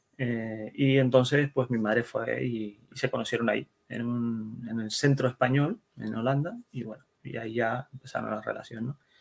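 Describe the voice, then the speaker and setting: Hardly pausing, a man speaks at a moderate pace in a medium pitch with monotone, flat intonation. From Netherlands, Spanish immigrant family. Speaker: web developer and security specialist. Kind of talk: interview. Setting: at home, son nearby.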